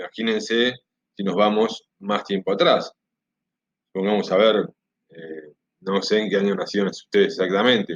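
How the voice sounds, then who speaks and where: Taking long, frequent pauses, a man talks with a fairly low pitch and fairly even intonation. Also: moderate pace, dry, close sound with no echo. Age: 40s. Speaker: history teacher. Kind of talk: recorded class introduction to students. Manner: casual, with hesitations.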